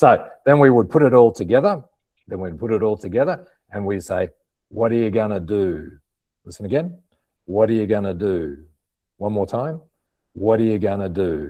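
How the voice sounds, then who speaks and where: A man's dark, mellow, fairly low voice with an Australian accent, lively intonation, a fairly slow pace and long, frequent pauses, over a quiet background. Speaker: English teacher. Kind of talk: pronunciation lesson. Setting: online webinar. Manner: slow, repeating phrases clearly.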